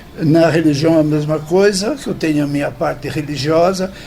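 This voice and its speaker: A man at a fairly high pitch, ordinary pitch variation and moderate pace, over noticeable background noise. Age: 80s+. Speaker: recovering alcoholic, support group member. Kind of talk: radio interview, personal testimony. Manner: halting, with repetitions.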